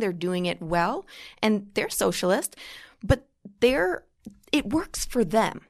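A woman speaks at a fairly slow pace. Her voice sits at a medium pitch. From New York, Long Island. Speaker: political commentator. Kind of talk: casual chat. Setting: studio.

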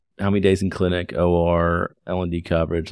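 A man speaks on a very clean recording with a silent background. The sound is dry and close, with no echo. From Lexington, Kentucky. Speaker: podcast host, OBGYN physician. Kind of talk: interview conversation.

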